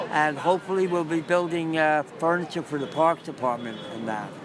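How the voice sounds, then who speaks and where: At a moderate pace, a man with a fairly high voice and ordinary pitch variation speaks over noticeable background noise. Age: 70s. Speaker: mosaic artist and Vietnam veteran. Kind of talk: casual interview on location. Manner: halting, many fillers.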